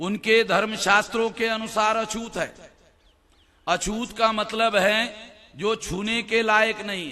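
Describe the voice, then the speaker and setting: A man projects a raised, high-pitched voice with a bright, sharp tone, his intonation flat and monotone while his loudness swings widely. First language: Marathi (speaking Hindi). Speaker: activist speaker. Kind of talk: public speech.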